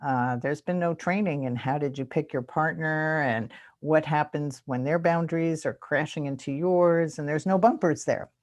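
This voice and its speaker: A woman's very deep, low voice at a moderate pace with hardly any pauses, over a quiet background. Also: ordinary pitch variation. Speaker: boundaries trainer and webinar presenter. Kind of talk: webinar Q&A.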